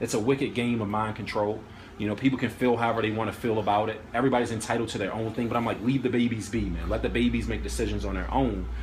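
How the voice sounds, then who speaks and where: A man talks at a very fast pace with audible room echo. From Washington, D.C. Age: 30s. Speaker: vlogger and poet. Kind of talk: casual interview discussion. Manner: animated.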